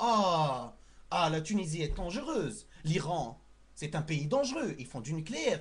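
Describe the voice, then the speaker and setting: A man speaks at a fairly slow pace with very wide swings in pitch. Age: 20s. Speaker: student making a video message. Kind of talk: impassioned appeal to camera. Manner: animated.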